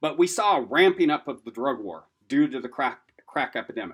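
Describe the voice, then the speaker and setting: A man with an American accent has an unremarkable speaking voice and lively intonation. He speaks at a moderate pace on a very clean recording with a silent background. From Washington State, US Pacific Northwest. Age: 50s. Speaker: lecturer on substance use disorder, person in recovery. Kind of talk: lecture. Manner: casual, conversational with fillers.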